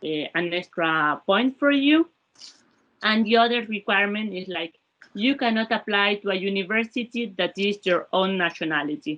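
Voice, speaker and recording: A woman with a Spanish accent speaks at a moderate pace and a medium pitch. Her intonation is lively. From Spain. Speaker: former research fellow, labor economist. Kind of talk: panel talk about experience. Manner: halting, many repetitions.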